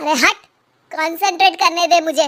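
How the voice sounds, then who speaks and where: In a cartoonish character voice, a woman squeaks at an extremely high pitch with fairly even intonation. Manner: boastful, hasty.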